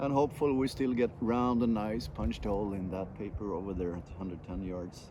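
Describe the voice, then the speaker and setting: At a moderate pace, a man speaks with lively intonation and a fairly low pitch. There is audible room echo. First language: Swedish. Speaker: airgun shooter, channel host. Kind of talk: solo outdoor commentary while shooting. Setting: outdoors at a shooting range.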